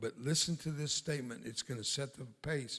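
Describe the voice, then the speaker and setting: With an American accent, a man speaks in an ordinary speaking voice at a moderate pace, his pitch medium with ordinary variation. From US-Mexico border (south Texas). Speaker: war veteran and evangelist. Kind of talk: sermon.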